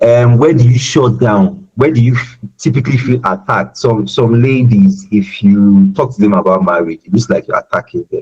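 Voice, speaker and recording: A man talks at a medium pitch and a moderate pace with hardly any pauses. His voice is somewhat breathy, with lively intonation. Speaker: self-development speaker. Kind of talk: webinar talk. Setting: online webinar. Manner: tends to raise voice when emotional; halting, many repetitions.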